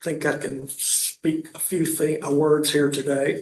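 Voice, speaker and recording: The voice is delivered in a monotone, flat intonation, with audible room echo around it. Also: man. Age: 70s. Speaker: self-represented litigant. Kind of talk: courtroom argument. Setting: courtroom. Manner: halting, many fillers.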